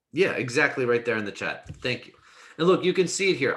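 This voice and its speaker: Audible room echo carries a man's bright, sharp tone, fairly high in pitch and with lively intonation. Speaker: math instructor. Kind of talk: lecture. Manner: halting.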